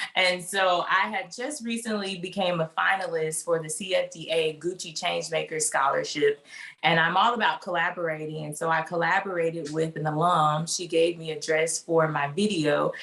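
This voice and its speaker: A woman with a Mississippi accent, hardly any pauses, and noticeable background noise. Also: fairly low pitch for a woman, fairly even intonation, moderate pace. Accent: Southern US (Mississippi). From US South, Mississippi. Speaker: fashion design student. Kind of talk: interview.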